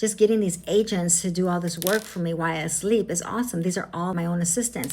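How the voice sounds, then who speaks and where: Somewhat breathy and fairly low-pitched, a woman speaks with fairly even intonation. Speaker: AI tutorial creator. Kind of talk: casual vlog. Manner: fast.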